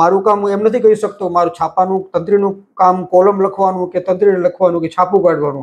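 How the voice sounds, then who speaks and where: A man speaks in a high pitch with fairly even intonation. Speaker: newspaper editor. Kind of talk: interview. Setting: editor's cabin in office. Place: office. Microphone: lapel.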